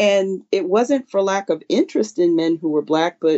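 With an American accent, a woman uses an unremarkable speaking voice at medium pitch, with lively intonation and a moderate pace. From Philadelphia, US. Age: 50s. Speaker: classical musician and music teacher. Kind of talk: casual interview chat.

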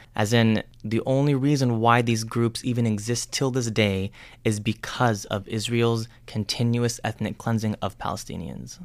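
Recorded very cleanly against a silent background, a man speaks with an American accent in a normal speaking voice. His pitch is medium, his pace moderate and his intonation fairly even. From United States. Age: 30s. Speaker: podcast host. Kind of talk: explainer monologue.

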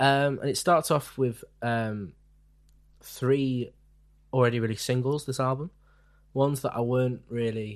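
With a British accent, a man speaks at a moderate pace in fairly even intonation, leaving long, frequent pauses. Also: medium pitch for a man, quiet background. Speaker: podcast host. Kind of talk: casual chat.

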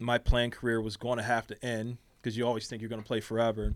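A man with a Philadelphia accent at a medium pitch. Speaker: college volleyball head coach, podcast guest. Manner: casual, conversational, frequent "you know" fillers.

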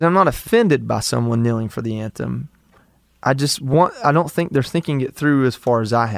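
A man with an American accent speaks in an ordinary speaking voice. His pitch is medium, with ordinary pitch variation and a moderate pace. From US South, Georgia. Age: 30s. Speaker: war veteran. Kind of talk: casual chat.

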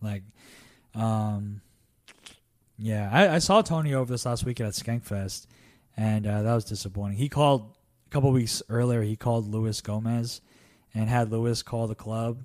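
A man speaks in a medium pitch with an American accent, at a moderate pace with fairly even intonation. His long, frequent pauses come through on a very clean recording with a silent background. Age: 20s. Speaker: stand-up comedian. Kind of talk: casual chat.

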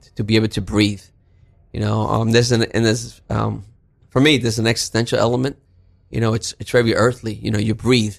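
In a New York accent, a man talks very fast at a medium pitch, his intonation monotone and flat, with vocal fry. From Brooklyn, New York. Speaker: counselor and teacher. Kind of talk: interview.

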